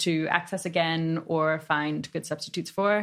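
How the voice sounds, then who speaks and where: Recorded very cleanly against a silent background, a woman speaks at a fairly slow pace with ordinary pitch variation. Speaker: researcher. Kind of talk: long-form interview. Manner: conversational.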